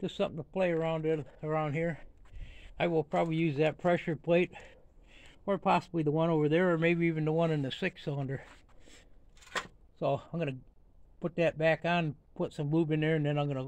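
Over light background noise, a man speaks at a fairly quick pace in a monotone, flat intonation. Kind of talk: casual vlog chat. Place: garden. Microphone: phone near.

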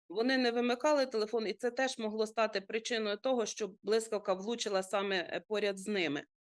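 With an unremarkable speaking voice, a woman talks at a fairly quick pace with hardly any pauses, her fairly high pitch showing ordinary variation against a quiet background. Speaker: rescue service expert. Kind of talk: TV interview giving safety advice. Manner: formal, explanatory.

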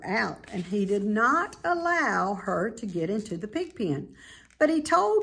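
The speaker uses an unforced reading voice. It carries through the clip.

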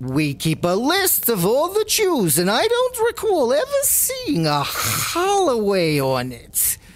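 At a fairly slow pace and with hardly any pauses, the speech plays over light background noise. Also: woman. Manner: warm, pushy, breezy.

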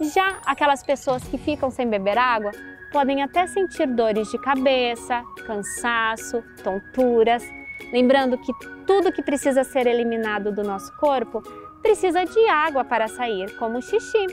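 Delivered at a fairly slow pace, the voice has a dry sound with no echo while clear music plays in the background. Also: woman, high pitch for a woman. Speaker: nutritionist. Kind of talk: educational explanation for children. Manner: friendly, didactic. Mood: warm, friendly, gently animated. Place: waterside. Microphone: lapel.

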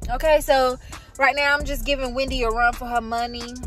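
Faint music plays in the background as a woman speaks in a dry sound with no echo. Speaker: vlogger. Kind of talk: casual vlog chat. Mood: excited about moving day. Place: car. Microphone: phone near.

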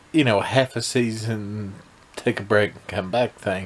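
A man's fairly low voice holds a fairly even intonation. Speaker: vlogger reviewing a TV episode. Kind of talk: casual vlog chat. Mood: mildly critical, unimpressed. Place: home room. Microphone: phone near.

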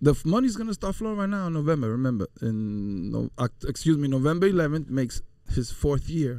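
Here a man talks very fast at a fairly high pitch, with very wide pitch swings. He takes long, frequent pauses, and the sound is dry with no echo against a quiet background. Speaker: podcast co-host. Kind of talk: casual chat. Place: studio. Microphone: studio mic.

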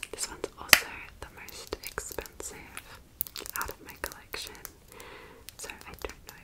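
Whispering in a gentle tone. The pace is fairly slow. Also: woman. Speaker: ASMR creator playing a friend. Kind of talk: ASMR role play with personal attention. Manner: soft, friendly, gentle. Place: home room. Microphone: studio mic.

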